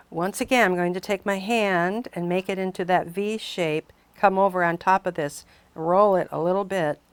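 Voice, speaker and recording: A woman's unremarkable speaking voice, medium in pitch, at a moderate pace with fairly even intonation, in a very clean, dry, close recording with a silent background and no echo. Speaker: clay artist and craft teacher. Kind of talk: tutorial.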